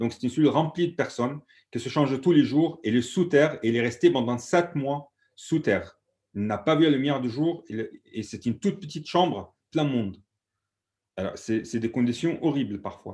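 A fairly high-pitched man with an Egyptian accent, lively intonation and a moderate pace. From Egypt, Alexandria. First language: Egyptian Arabic (speaking French). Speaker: activist. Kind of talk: panel discussion testimony. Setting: video call.

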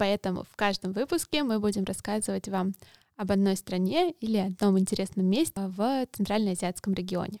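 In a dry, close sound with no echo, a woman speaks at medium pitch and a moderate pace, her tone dark and mellow with ordinary pitch variation. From Russia. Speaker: podcast host. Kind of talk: interview; scripted intro.

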